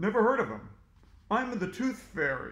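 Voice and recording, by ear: Putting on a character voice, a man talks at a moderate pace and a high pitch.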